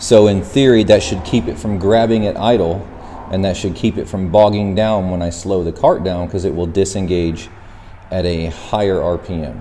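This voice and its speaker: In a room with audible echo and noticeable background noise, a man speaks in a very deep, low pitch with fairly even intonation. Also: moderate pace. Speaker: go-kart and mini bike YouTuber. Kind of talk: DIY tutorial. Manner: casual, conversational.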